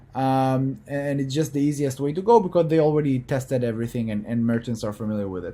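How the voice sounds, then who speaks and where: With a non-native accent, a man speaks fairly quickly at medium pitch, his tone dark and mellow and his pitch varying in an ordinary way. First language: not English. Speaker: business coach. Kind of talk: coaching call. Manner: halting.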